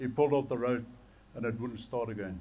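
This man talks with an Afrikaans accent and ordinary pitch variation. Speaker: preacher. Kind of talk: sermon to a men's gathering. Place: stage. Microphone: headset.

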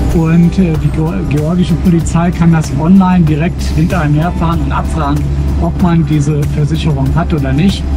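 A man keeps a moderate pace while clear music plays behind him. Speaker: travel vlogger driving. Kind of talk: casual vlog chat. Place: car.

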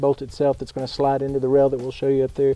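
A man is speaking, with a dry sound that has no echo. Faint music plays in the background. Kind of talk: tutorial. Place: garage.

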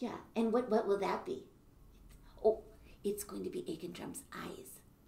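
Audible room echo surrounds a woman as she talks. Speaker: children's music teacher. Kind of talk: playful teaching talk to children. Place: classroom. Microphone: camera far.

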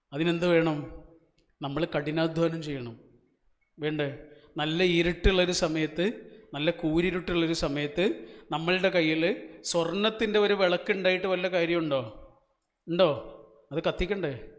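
The man speaks at a high pitch. His intonation is fairly even. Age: 40s. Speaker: motivational speaker. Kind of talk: motivational speech to audience. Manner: interactive, questioning the audience.

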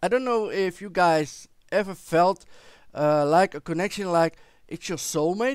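This man talks at a fairly slow pace in a high voice with ordinary pitch variation and big swings in loudness, recorded dry with no echo against a quiet background. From Netherlands. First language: Dutch. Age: 40s. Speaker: vlogger. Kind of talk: personal storytelling to camera. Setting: recording at home with headset microphone. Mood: warm, reflective storytelling. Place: home room. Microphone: headset.

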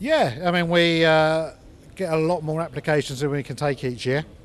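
A man at a moderate pace, fairly even in intonation, over light background noise. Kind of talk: interview answer. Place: garage. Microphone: handheld.

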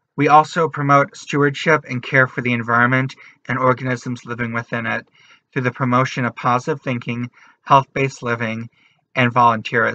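A man talks at a fairly quick pace with monotone, flat intonation. His tone is bright and sharp, and the sound is dry with no echo. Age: 20s. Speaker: artist, writer and activist. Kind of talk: channel introduction to camera. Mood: warm, earnest. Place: home room. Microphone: webcam.

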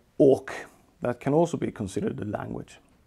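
A man with a Swedish accent at a very fast pace against a quiet background. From Sweden. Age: 40s. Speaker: software engineer; presenter. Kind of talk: technical talk; lecture. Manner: halting. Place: home room.

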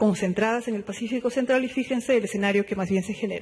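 This man's voice sits at a high pitch and shows ordinary pitch variation.

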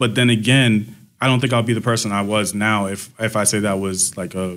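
A man speaks at a fairly quick pace, his pitch fairly low with little movement and his tone fairly bright.

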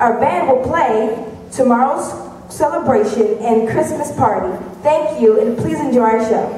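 A woman's high-pitched voice with audible room echo and light background noise. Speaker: master of ceremonies. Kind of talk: rhymed stage announcement, formal and scripted, introducing acts. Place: stage. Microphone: pa.

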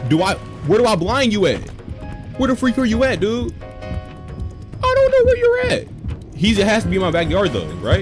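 Someone speaks at a moderate pace with clear music in the background. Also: man. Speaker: gamer streamer. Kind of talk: gameplay commentary. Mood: tense, nervous, joking. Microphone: headset.

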